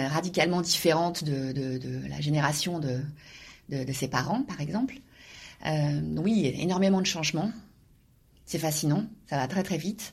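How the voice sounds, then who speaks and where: Somewhat breathy, a woman speaks at fairly low pitch with lively intonation. Her pace is fairly slow, with long, frequent pauses. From Normandy, France. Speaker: university professor and author. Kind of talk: interview. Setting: office. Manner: halting, frequent repetitions and hesitations.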